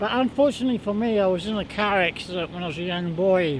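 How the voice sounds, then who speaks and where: A man with a New Zealand accent talks at a very fast pace, his pitch varying in an ordinary way. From New Zealand, Palmerston North. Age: 60s. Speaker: street juggler. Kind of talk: interview. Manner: halting.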